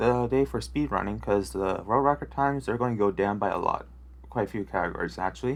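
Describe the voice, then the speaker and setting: A quiet voice at a fairly quick pace, in a very clean recording with a silent background. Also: man. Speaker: Minecraft speedrunner. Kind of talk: gameplay commentary. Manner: quiet after the intro; hesitant, many filler words.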